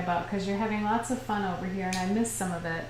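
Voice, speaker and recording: A woman talks very fast at a medium pitch with ordinary pitch variation. Noticeable background noise and audible room echo surround her voice. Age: 50s. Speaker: watercolor artist and livestream teacher. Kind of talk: casual livestream chat while painting. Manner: animated.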